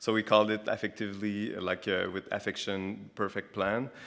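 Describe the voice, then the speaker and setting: This man's pitch sits fairly low. The recording is very clean, and the background is silent. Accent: Quebec French. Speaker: architect. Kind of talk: lecture.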